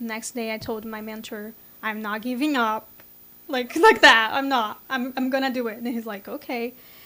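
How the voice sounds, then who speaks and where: A woman with a Brazilian Portuguese accent speaks in a bright, sharp tone at a fairly high pitch, her intonation flat and monotone. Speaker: software engineer. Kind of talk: interview. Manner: halting.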